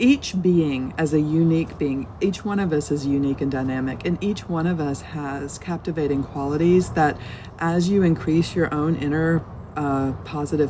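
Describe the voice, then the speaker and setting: Very deep, low woman's voice with an American accent, fairly even intonation, a moderate pace, and noticeable background noise. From US South. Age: 50s. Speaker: Buddhist teacher. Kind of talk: live-stream dharma talk. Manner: casual, rambling with fillers.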